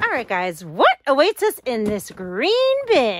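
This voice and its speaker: At a very slow pace and with very wide pitch swings, the voice comes through a dry sound with no echo and light background noise. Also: woman. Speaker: home decluttering vlogger. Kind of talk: casual vlog chat. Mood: nostalgic, reflective. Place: home room. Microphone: phone near.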